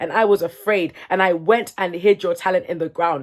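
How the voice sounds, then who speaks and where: A woman speaks at a fairly quick pace in a medium pitch, with an animated tone. The recording is very clean, with a silent background. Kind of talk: faith-based motivational talk. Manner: loud, shouting when passionate.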